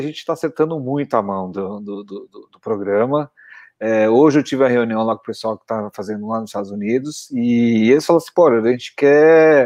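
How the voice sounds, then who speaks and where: A man with an unremarkable speaking voice talks at a moderate pace, his loudness swinging widely and his intonation lively, in a dry, close sound with no echo over a quiet background. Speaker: podcast co-host. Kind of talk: casual chat.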